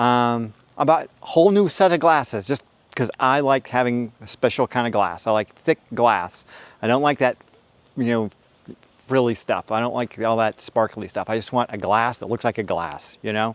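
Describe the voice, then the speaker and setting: Here a man talks at a moderate pace and medium pitch, with ordinary pitch variation. The sound is dry and close, with no echo. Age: 50s. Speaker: video blogger on divorce and single life. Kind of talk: casual monologue. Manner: animated.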